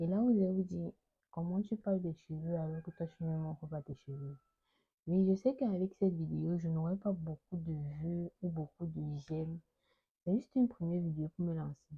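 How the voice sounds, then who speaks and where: A somewhat breathy woman's voice, fairly low in pitch, at a moderate pace with ordinary pitch variation. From Cameroon. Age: 20s. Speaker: fashion student and hair product seller. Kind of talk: casual vlog talk.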